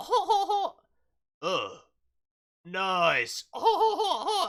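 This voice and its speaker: A put-on character voice at a very slow pace. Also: man, extremely high pitch for a man. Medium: actual play. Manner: hearty, laughing.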